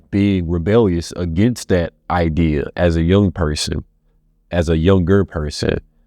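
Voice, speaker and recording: A man speaks very slowly at a very deep, low pitch with fairly even intonation. The sound is dry and close with no echo, and music plays in the background. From Louisiana, Baton Rouge. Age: 20s. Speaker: actor. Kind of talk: reflective interview monologue. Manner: halting, many restarts.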